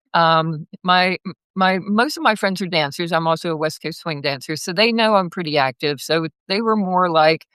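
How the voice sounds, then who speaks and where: A woman with a normal speaking voice, fairly low pitch, ordinary pitch variation and a moderate pace, in a dry, close sound with no echo. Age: 60s. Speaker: massage therapist and pilgrim. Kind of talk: casual interview. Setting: live video call.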